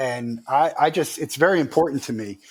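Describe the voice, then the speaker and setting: A man with a normal speaking voice, lively intonation and a fairly quick pace. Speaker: company founder and CEO. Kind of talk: interview.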